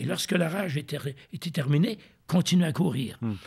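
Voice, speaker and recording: The speaker uses vocal fry and lively intonation at a moderate pace. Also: man. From Quebec City, Canada. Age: 70s. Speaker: retired ultramarathon runner. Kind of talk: interview answer.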